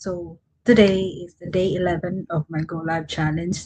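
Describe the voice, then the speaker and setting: A woman speaks in a Visayan Filipino accent at a fairly low pitch. Her pace is fairly slow and her voice somewhat breathy. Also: dry, close sound with no echo. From Philippines, Mindanao. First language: Cebuano (Bisaya). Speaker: online content creator. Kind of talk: livestream motivational talk. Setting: livestream at night. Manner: halting.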